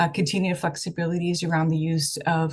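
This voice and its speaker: A woman's somewhat breathy voice. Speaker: state health program official presenting. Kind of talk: presentation at online meeting. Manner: hesitant with many fillers.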